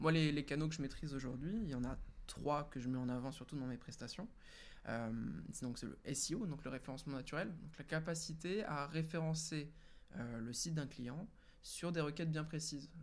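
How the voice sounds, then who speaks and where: The speaker talks at a moderate pace with ordinary pitch variation. Audible room echo surrounds the voice. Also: man, fairly high pitch for a man. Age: 20s. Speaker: freelance web marketer. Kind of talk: casual interview. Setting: live stream with chat.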